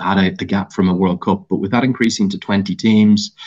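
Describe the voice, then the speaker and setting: A man with an Irish accent, fairly low in pitch and fairly quick, with monotone, flat intonation against a quiet background. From Ireland. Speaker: cricket commentator and former player. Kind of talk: podcast interview answer. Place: home room. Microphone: video call.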